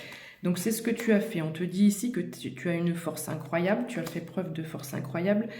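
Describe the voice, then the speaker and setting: A woman whispers at a moderate pace, with big swings in loudness. Noticeable background noise and audible room echo fill the recording. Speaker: tarot card reader. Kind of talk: tarot reading addressed to viewer. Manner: whispering; hesitant, many fillers.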